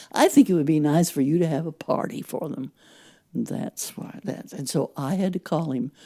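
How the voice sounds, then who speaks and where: This woman's voice is very deep and low, with ordinary pitch variation and big swings in loudness. She keeps a moderate pace, and the sound is dry and close with no echo. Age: 80s+. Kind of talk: interview answer.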